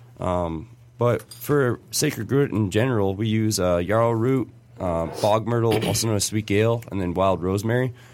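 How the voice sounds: Speaking at a moderate pace in a Michigan accent, a man uses a fairly low pitch with ordinary variation. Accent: general American, Michigan.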